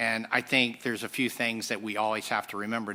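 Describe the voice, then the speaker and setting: In a very clean recording with a silent background, a man with a fairly low pitch and a bright, sharp tone speaks fairly quickly in a flat monotone. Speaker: pharmaceutical executive. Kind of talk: panel discussion.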